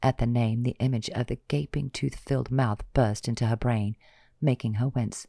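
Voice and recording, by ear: The text is read aloud in a natural voice.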